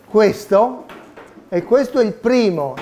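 Against light background noise, a man speaks at a high pitch. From Tuscany, Italy (Pontedera). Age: 50s. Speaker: 3D printing inventor. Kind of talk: talk to children. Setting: seminar room with audience. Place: meeting room.

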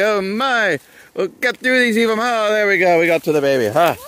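Amid noticeable background noise, a man's voice comes through with a dry sound and no echo. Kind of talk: playful dramatic vlog narration. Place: open country. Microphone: phone near.

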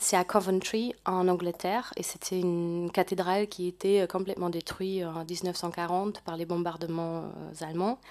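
A woman talks at a fairly slow pace. Her intonation is fairly even, and the background is quiet. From Germany, Ruhr region; Germany. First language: German (speaking French). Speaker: volunteer program coordinator. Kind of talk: panel presentation. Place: hall. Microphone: podium.

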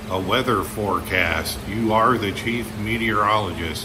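With an American accent, a man talks in a room with audible echo and noticeable background noise. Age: 50s. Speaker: YouTuber / pipe smoking vlogger. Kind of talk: casual vlog monologue. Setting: barn.

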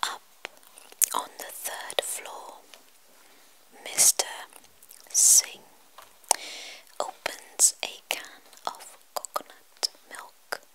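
Whispering at a very slow pace, the speaker leaves long, frequent pauses. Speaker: ASMR creator. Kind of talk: ASMR book reading. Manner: whispered.

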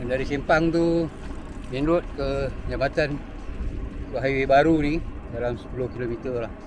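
A man speaks at a fairly slow pace with fairly even intonation. The sound is dry with no echo, but noticeable background noise is present. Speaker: cyclist vlogger. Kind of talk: casual vlog chat. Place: bicycle. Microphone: phone near.

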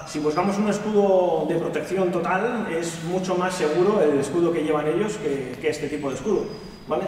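A man's high-pitched voice at a moderate pace, with ordinary pitch variation, audible room echo and light background noise. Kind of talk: casual vlog chat. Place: hall.

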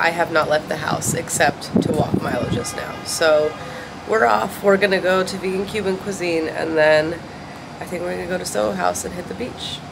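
Loud background noise fills the recording. The talking proceeds at a moderate pace. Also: woman. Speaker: vlogger. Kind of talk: casual vlog chat. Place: home room. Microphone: phone near.

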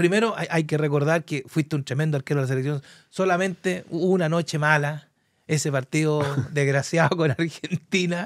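A man speaks at a fairly quick pace in a high voice. The sound is dry with no echo, and the background is quiet. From Chile, Curicó; Chile. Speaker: sports broadcaster and talk show host; talk show host. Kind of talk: sports talk show interview. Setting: studio. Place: studio. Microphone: studio mic.

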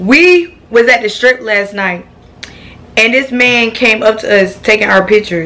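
Amid noticeable background noise, a woman with a fairly high pitch uses an animated tone and lively intonation at a fairly slow pace. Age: young. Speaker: vlogger. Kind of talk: casual vlog chat.

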